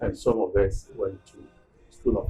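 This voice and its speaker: Music in the background behind a man speaking at a fairly slow pace. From Ghana. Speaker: school alumnus, elder. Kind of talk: interview, reminiscence.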